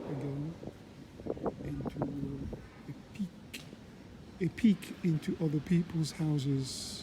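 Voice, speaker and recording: A soft-spoken man with a fairly high pitch talks at a very slow pace, with long, frequent pauses and fairly even intonation. Noticeable background noise sits behind him. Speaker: travel vlogger, pilgrim walker. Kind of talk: casual walking vlog narration. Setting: outdoors, walking in a town. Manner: halting, many fillers.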